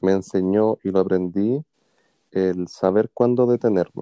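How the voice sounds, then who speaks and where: The speaker has a Chilean accent. Their intonation stays fairly even. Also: man. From Chile, Puente Alto (Santiago). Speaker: podcast co-host. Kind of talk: casual chat.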